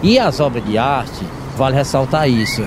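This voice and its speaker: A man speaks at a moderate pace and medium pitch. Room echo is audible, and background noise is noticeable. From Ceará backlands, Pentecoste (Brazil). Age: 50s. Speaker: gardener and woodcarving artisan. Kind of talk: interview.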